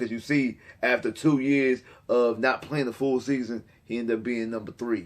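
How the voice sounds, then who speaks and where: The speaker's tone is animated. The accent is American. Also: man. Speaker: sports YouTuber. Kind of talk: sports commentary monologue. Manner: repetitive, stammering fillers.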